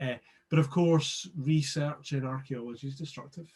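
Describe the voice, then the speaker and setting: Somewhat breathy, a man speaks with a Scottish accent. His pitch is fairly high. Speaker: archaeologist and digital preservation specialist. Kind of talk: interview. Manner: halting.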